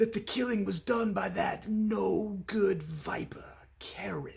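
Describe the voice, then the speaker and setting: A man uses a put-on character voice pitched high. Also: fairly slow pace. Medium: short film. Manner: oddly crooning, stilted.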